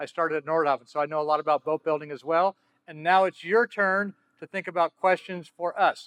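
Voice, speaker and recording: Here is an unremarkable speaking voice at a fairly quick pace. The sound is dry and close, with no echo. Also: man. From Southern California. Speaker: yacht broker, panel moderator. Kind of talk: panel discussion.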